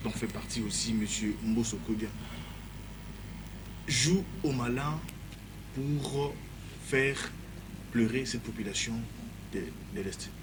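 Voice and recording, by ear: A man at a slow pace, with long, frequent pauses and ordinary pitch variation. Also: medium pitch for a man.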